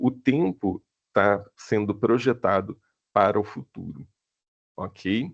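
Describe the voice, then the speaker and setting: At a very slow pace with long, frequent pauses, a man uses lively intonation and a fairly low pitch in a dry, close sound with no echo. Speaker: film screenwriting professor. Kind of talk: online lecture.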